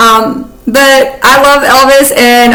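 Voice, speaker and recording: Noticeable background noise and audible room echo surround a woman talking with an American accent. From US South. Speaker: YouTuber. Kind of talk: casual commentary. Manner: animated.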